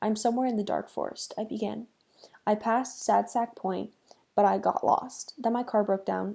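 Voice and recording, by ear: Natural-voiced reading aloud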